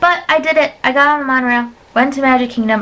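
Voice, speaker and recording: This woman talks at a very fast pace with ordinary pitch variation. Noticeable background noise runs behind her. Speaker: travel vlogger. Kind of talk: casual vlog narration. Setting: sit-down recording. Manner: chatty, many fillers.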